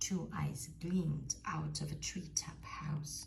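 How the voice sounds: Whispering at a slow pace, the voice carries vocal fry. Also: woman.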